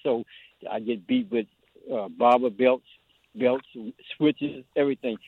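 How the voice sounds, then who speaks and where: Speaking in a Southern US accent, a man keeps a moderate pace. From US South. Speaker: caller. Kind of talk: call-in comment. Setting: phone call.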